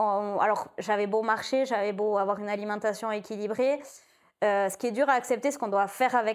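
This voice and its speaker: On a very clean recording with a silent background, an unremarkable speaking voice talks fairly quickly, its intonation fairly even. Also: woman, fairly high pitch for a woman. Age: 30s. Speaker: breast cancer patient. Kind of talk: testimony.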